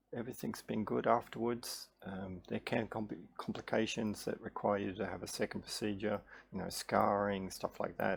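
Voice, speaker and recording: Vocal fry marks this man's speech. His pitch is fairly low, with ordinary variation. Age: 60s. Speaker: health vlogger sharing patient experience. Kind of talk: casual explanatory monologue. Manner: hesitant, many fillers and restarts.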